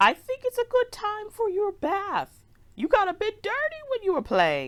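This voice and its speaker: A woman's put-on character voice, extremely high in pitch, with a warm tone and lively intonation. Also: moderate pace. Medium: read story. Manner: warm, fussing, old-fashioned.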